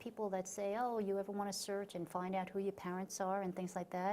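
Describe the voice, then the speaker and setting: Medium in pitch, a woman talks with an American accent. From Long Island, New York. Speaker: author. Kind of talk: interview. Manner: halting, many fillers and restarts.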